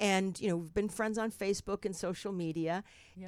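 On a very clean recording with a silent background, a woman speaks with a New Jersey accent at a medium pitch, her pitch varying in an ordinary way. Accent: New Jersey American. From New Jersey, North Bergen. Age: 60s. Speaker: talk show host. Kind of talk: casual chat. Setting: studio. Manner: animated.

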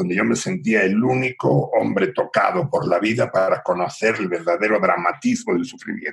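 This is a man speaking. He has a Galician accent. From Mexico City, raised between Mexico and Spain in a Galician family. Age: 60s. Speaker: podcast guest telling his life story. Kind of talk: casual interview chat.

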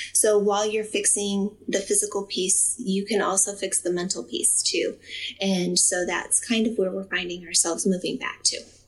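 Moderate pace in an American accent, over noticeable background noise. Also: woman. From US Midwest, Ohio. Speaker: occupational therapy professor. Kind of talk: interview testimony.

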